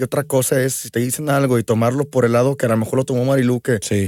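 A man rattles along very fast in a very clean recording with a silent background. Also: dry, close sound with no echo. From Mexico, Aguascalientes. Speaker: musician. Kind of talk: casual chat.

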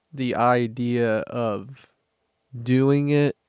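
A man with an American accent talks at a medium pitch in a monotone, flat intonation, the sound dry and close with no echo. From US Midwest, Kansas City, Missouri side. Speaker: podcast host. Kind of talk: casual chat.

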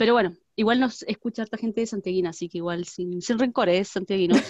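In a dry, close recording with no echo, a woman with an ordinary speaking voice talks fairly quickly at a medium pitch with ordinary pitch variation. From Chile, Valparaíso region. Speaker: podcast co-host. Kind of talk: casual chat. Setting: video call.

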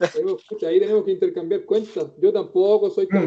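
A man with a Chilean accent at a moderate pace. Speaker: podcast host. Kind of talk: casual live-stream interview. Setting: live video stream.

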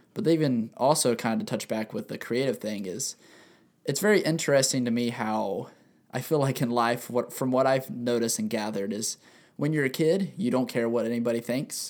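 The recording is very clean, with a silent background. A man of medium pitch talks at a fairly quick pace with lively intonation. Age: 20s. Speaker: podcast co-host and photographer. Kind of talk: casual chat. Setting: studio. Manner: talkative.

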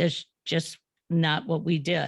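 A woman's fairly low voice, dry and close with no echo, in a very clean recording over a silent background. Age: 60s. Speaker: radio podcast host. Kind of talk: interview.

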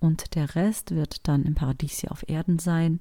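A somewhat breathy woman's voice, fairly low in pitch, with a dark, mellow tone, ordinary pitch variation and a fairly slow pace, on a very clean recording with a silent background. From Germany, Berlin. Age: 40s. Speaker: podcast host, actress and voice artist, ex-Jehovah's Witness. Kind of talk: personal testimony podcast monologue.

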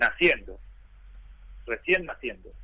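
A man is speaking. His pace is fairly slow. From Argentina, Buenos Aires western suburbs. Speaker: sports journalist. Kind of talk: interview.

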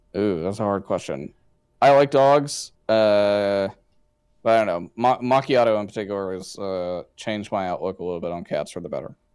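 A man speaks at a moderate pace in a fairly low voice with ordinary pitch variation, recorded very cleanly against a silent background. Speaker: esports journalist. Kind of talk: casual interview chat. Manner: casual, filler-heavy.

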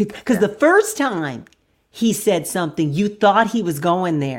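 At a fairly quick pace, a woman speaks in an ordinary speaking voice at medium pitch. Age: 40s. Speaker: podcast co-host. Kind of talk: casual chat.

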